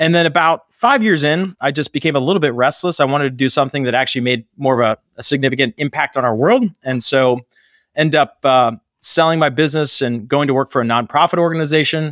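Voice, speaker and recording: In a very clean recording with a silent background and a dry, close sound with no echo, a man with an American accent talks very fast at a fairly high pitch, with ordinary pitch variation. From Pittsburgh, Pennsylvania, US. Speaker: nonprofit fundraising consultancy founder. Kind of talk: casual interview.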